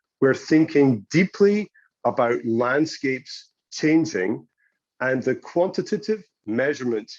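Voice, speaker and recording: With a British accent and a fairly high pitch, a man speaks at a very slow pace, his pitch swinging very widely against a quiet background. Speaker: geospatial analytics company representative. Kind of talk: conference presentation.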